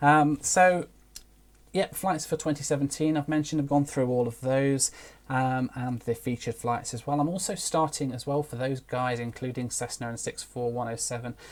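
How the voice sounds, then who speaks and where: British accent with fairly even intonation on a very clean recording with a silent background. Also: man, medium pitch for a man. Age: 30s. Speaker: aviation YouTuber. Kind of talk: live stream Q&A. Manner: fast; hesitant with fillers.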